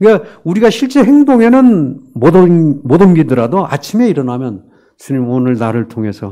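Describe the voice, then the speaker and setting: At a moderate pace, a man with a fairly high, dark and mellow voice swings his pitch very widely. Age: 60s. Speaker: missionary preacher. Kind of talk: sermon. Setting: church service. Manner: halting, many fillers.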